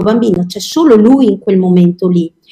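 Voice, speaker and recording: Her tone is dark and mellow, somewhat breathy, with lively intonation. The woman speaks at a moderate pace. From Verona, Veneto, Italy. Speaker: children's cooking teacher. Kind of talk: interview.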